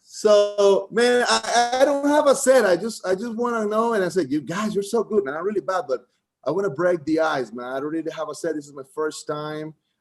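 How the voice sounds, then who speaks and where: Speaking in a Costa Rican accent, a man talks at a fairly quick pace with hardly any pauses. His high pitch swings very widely. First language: Spanish. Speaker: comedian. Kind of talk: stand-up. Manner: halting.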